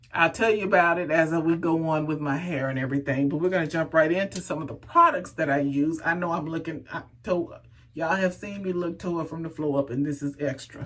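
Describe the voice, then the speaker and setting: Over noticeable background noise, a woman with a fairly low voice and an American accent speaks in an animated tone at a fairly quick pace. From Texas. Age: 50s. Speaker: hair care vlogger. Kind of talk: casual vlog talk.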